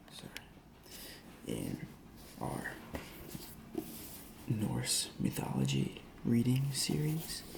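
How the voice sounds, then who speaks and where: Very slow whispering from a man, broken by long, frequent pauses, over noticeable background noise. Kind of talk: casual talk to camera. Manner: whispered, soft-spoken.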